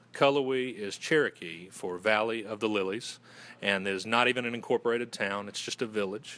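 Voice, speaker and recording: This man has a fairly low pitch, a bright, sharp tone and a Southern US accent. He speaks at a fairly quick pace with ordinary pitch variation. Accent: Southern US, moderate. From Western North Carolina. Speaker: fraternity communications director. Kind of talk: interview.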